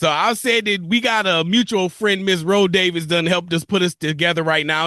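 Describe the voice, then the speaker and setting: Raising and projecting his voice, a man sounds bright, sharp and animated, with ordinary pitch variation. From Buffalo, New York. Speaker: radio host. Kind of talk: radio interview.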